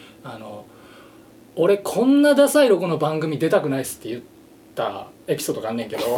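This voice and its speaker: A man with a fairly high pitch talks at a very fast pace, with very wide pitch swings and big swings in loudness. Long, frequent pauses stand out against noticeable background noise. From Japan, Shiga. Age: 30s. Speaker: musician. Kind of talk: casual chat.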